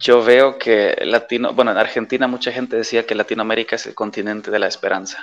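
With a Polish accent, a man speaks very fast with hardly any pauses and big swings in loudness. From western Germany near the Dutch border. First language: Polish (speaking Spanish). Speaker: expat interviewee. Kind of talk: casual interview. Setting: video call.

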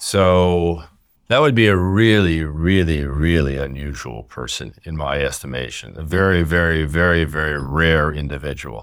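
There is audible room echo as a man with an American accent speaks in a very deep, low pitch. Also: ordinary pitch variation, moderate pace. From US, central New Jersey. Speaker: urology professor. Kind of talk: interview.

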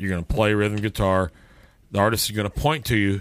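A man talks at a fairly quick pace with fairly low pitch and a normal speaking voice. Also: very clean recording, silent background. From Texas. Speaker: podcast host, musician. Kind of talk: casual chat.

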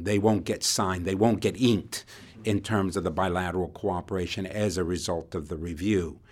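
This man has a very deep, low pitch. The recording is very clean, with a silent background. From South America (Chile, Uruguay). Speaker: former intelligence official. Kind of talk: interview.

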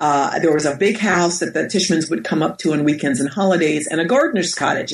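In an American accent, a woman with an ordinary speaking voice talks at a fairly low pitch with ordinary pitch variation. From US Northeast, Westchester County, New York. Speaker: professor and author. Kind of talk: interview. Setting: at home.

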